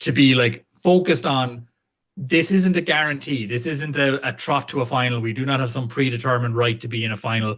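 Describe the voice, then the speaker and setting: With an Irish accent, a man talks at a fairly quick pace, using a medium pitch and ordinary pitch variation. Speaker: rugby podcast host. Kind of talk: casual chat. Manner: animated.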